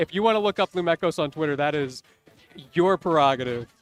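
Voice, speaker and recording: A very fast, animated delivery with lively intonation, a dry, close sound with no echo, and music in the background. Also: man. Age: 20s. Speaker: esports commentator. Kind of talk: live commentary. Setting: live stream with headsets.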